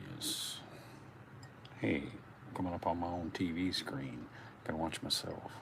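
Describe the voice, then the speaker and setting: In a quiet, very deep, low voice, a man speaks at a fairly slow pace with ordinary pitch variation. Long, frequent pauses break up his speech, and audible room echo surrounds it. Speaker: YouTube livestreamer. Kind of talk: casual livestream chat. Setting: at home, indoors, livestream. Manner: talking quietly; halting.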